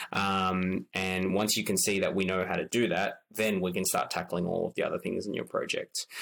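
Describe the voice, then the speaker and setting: A man with an Australian accent and a very deep, low pitch talks at a moderate pace with fairly even intonation, very even loudness and hardly any pauses. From Australia, Sydney. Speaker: marketing consultant. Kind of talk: interview. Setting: at home, remote.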